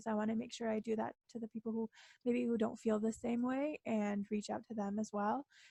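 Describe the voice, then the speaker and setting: The voice has a dark, mellow tone, somewhat breathy and delivered in a monotone, flat intonation, with a dry, close sound and no echo. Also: woman. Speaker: student election candidate. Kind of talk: campaign debate speech.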